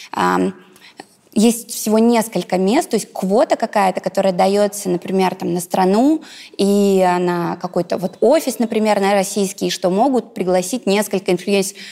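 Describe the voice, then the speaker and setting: Keeping very even loudness, a woman speaks in a plain, everyday voice of medium pitch at a moderate pace with ordinary pitch variation. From Russia, Ivanovo region. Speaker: blogger and businesswoman. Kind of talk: interview.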